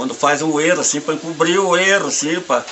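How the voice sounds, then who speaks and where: Noticeable background noise accompanies a man talking at a moderate pace, with a fairly high pitch and ordinary pitch variation. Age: 70s. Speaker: folk religious devotee. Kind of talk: testimony. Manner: halting.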